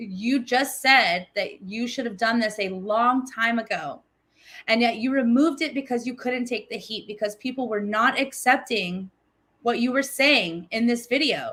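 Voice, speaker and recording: A woman speaks in a high, bright, sharp voice with an animated tone, ordinary pitch variation and a moderate pace. The recording is very clean, with a silent background. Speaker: livestream commentator reacting to a video. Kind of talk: reaction commentary on livestream. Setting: livestream.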